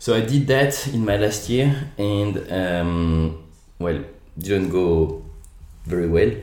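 In a French accent, a man speaks at a very slow pace with a very deep, low pitch, a dark, mellow tone and lively intonation, and the room echo is audible. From France, Lyon. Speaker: entrepreneur. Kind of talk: interview.

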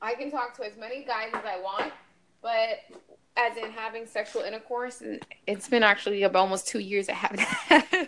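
A woman talks at a moderate pace in a normal speaking voice, fairly high in pitch with ordinary pitch variation. Her loudness swings widely. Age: 30s. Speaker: podcaster. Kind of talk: casual chat.

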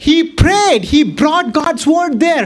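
The speaker's tone is animated. Noticeable background noise runs underneath. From Boston. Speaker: pastor. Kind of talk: sermon. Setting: church.

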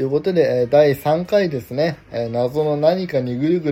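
Lively intonation from a man with a fairly high pitch, at a moderate pace, over noticeable background noise. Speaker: podcast host, graduate art student. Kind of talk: solo podcast monologue. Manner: casual with many fillers.

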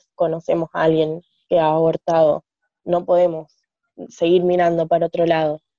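A dark, mellow voice speaks at a moderate pace in monotone, flat intonation, with very even loudness, long, frequent pauses and a dry, close sound with no echo. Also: woman. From Argentina, small town. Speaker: feminist activist. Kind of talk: casual chat.

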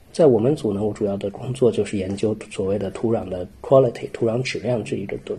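Here is a man with an ordinary speaking voice at a medium pitch. He speaks at a fairly quick pace with ordinary pitch variation. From Xining, Qinghai, China. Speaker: soil science doctoral student. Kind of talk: casual interview.

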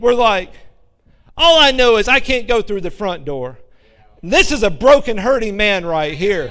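Raised and projected, a man's extremely high voice carries an American accent and very wide pitch swings. He keeps a moderate pace, and the room echo is audible. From Alabama, US South. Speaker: missionary preacher and seminary professor. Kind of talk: sermon. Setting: church with congregation.

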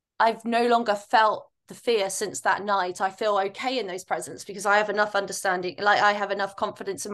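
A woman with a medium pitch and a normal speaking voice speaks at a moderate pace with ordinary pitch variation. The background is quiet. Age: 30s. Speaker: podcast host and life coach. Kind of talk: casual chat.

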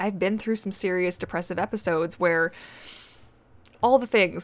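Here a woman talks at a fairly quick pace. Her pitch is medium. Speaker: podcast host. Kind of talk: casual solo talk. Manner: stumbling.

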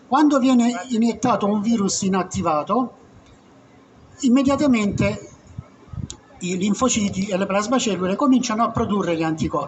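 This man's voice sits high for a male speaker, with ordinary pitch variation. He keeps a moderate pace but stops often for long pauses. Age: 70s. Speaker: retired doctor. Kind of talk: public talk at a meeting. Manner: halting; animated.

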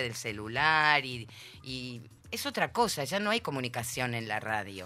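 A woman with a very deep, low pitch speaks at a fairly slow pace in a bright, sharp tone. The recording is very clean, with a silent background. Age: 50s. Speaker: interview guest. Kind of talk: casual chat.

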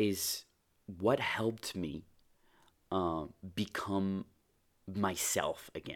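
Fairly even intonation on a very clean recording with a silent background. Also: man. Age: 20s. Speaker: podcast host. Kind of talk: personal monologue. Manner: hesitant, many fillers. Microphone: new microphone.

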